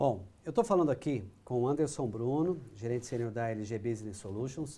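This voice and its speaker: A man with a dark, mellow tone, lively intonation and a moderate pace. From Paraná, Brazil. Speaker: business coach and live show host. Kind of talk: interview.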